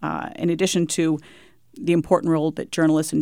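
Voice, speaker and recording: Vocal fry and fairly even intonation in an American accent, on a very clean recording with a silent background. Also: woman. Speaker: author. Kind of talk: radio interview.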